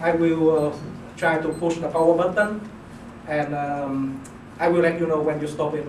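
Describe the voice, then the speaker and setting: Amid noticeable background noise, a man with a non-native accent speaks at a moderate pace and fairly high pitch in a monotone, flat intonation. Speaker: PhD student. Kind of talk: class presentation. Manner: hesitant, many fillers.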